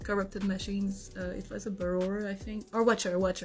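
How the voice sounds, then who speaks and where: In a Quebec accent, the speaker goes at a fairly quick pace, somewhat breathy and flat in intonation. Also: woman. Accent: French-Canadian accent in English. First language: French. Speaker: content creator. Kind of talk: casual monologue to camera. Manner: hesitant, many fillers.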